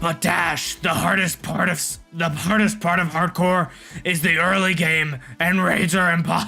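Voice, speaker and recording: A put-on character voice at middle pitch and moderate pace, with faint music in the background. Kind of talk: gaming commentary.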